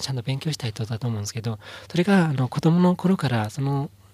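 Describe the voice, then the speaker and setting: A somewhat breathy man talks at a very fast pace in a medium pitch. His pitch varies in an ordinary way, and the sound is dry and close, with no echo. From Inner Mongolia, China. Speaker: company founder. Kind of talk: interview. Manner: halting, many fillers.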